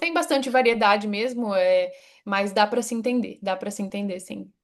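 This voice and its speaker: A woman speaks at a medium pitch with an interior São Paulo accent. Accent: caipira, interior São Paulo. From interior of São Paulo state, Brazil. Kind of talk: casual spoken Portuguese.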